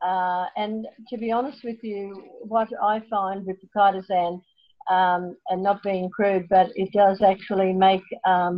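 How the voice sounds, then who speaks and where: Her medium-pitched voice stays flat and monotone as this woman speaks. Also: big swings in loudness. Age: 70s. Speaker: nutrition product distributor. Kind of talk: video call product presentation.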